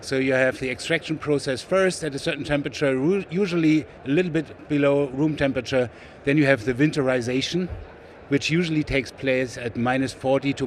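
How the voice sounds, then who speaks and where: With a German accent, a man speaks at a fairly quick pace. His pitch variation is ordinary. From Germany, West Berlin. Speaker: sales executive, biochemist. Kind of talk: trade show interview. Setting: trade show floor.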